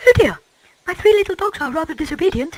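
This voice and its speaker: A squeaky, put-on character voice pitched extremely high and delivered at a very fast pace. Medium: fan dub.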